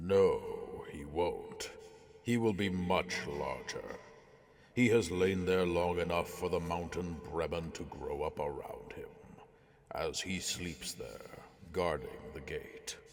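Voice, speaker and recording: A man puts on a character voice and delivers his lines fairly slowly. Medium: audio drama. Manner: haughty, condescending.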